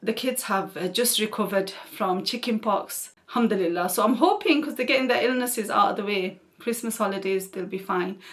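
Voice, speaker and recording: Over noticeable background noise, a woman talks fairly quickly with hardly any pauses, in a relaxed tone. Her voice is fairly high, with ordinary pitch variation. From northern England (Oldham, Greater Manchester). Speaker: YouTuber, mother of seven. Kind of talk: Q&A casual chat to camera. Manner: chatty, relaxed.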